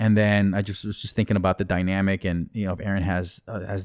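A man with an American accent speaks at a fairly low pitch, recorded very cleanly against a silent background with a dry, close sound and no echo. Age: 30s. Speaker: rapper and MC. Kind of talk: casual chat. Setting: studio. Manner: animated.

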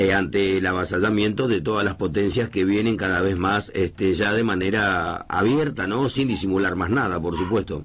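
Noticeable background noise runs under this clip. A man with a fairly low pitch talks at a moderate pace. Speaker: radio host. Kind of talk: radio interview. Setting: radio studio.

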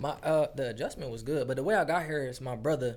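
Fairly quick in pace, a man with an American accent and a normal speaking voice keeps his intonation fairly even. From Detroit area, Michigan. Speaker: recording artist. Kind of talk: casual chat.

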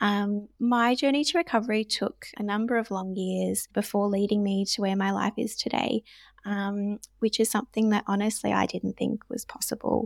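A woman with an Australian accent talks at a moderate pace and medium pitch with fairly even intonation. The recording is very clean, with a silent background and a dry, close sound with no echo. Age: 20s. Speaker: nurse and recovery ambassador. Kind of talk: casual interview.

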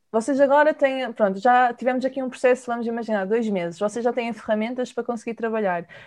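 A woman's fairly high voice with ordinary pitch variation, over a quiet background. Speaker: podcast host and nutritionist. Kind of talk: interview.

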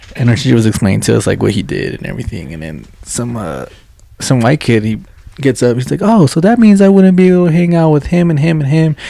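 A man talks at a fairly quick pace in a Spanish accent. His pitch swings very widely. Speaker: podcast co-host. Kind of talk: casual banter.

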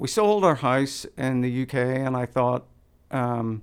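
A man with a Northern Irish accent. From Northern Ireland. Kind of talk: casual chat.

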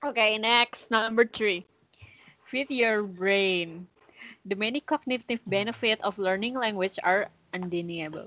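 A woman with an Indonesian accent, bright and sharp in tone, at a fairly slow pace with ordinary pitch variation, in a dry, close sound with no echo against a quiet background. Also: fairly high pitch for a woman. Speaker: podcast co-host. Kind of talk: casual chat. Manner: halting; giggly.

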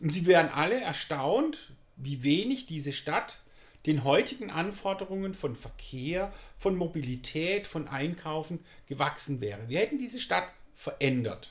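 A high-pitched man at a fairly slow pace, with very wide pitch swings. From Germany, Pforzheim (Baden-Württemberg). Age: 60s. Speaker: youth work manager. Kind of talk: interview. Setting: community centre.

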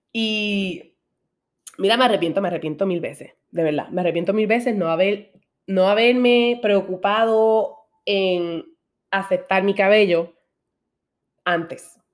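Her tone is animated as a woman speaks at a medium pitch with ordinary pitch variation. Long, frequent pauses break up her speech. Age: 20s. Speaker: podcast host. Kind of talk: personal monologue.

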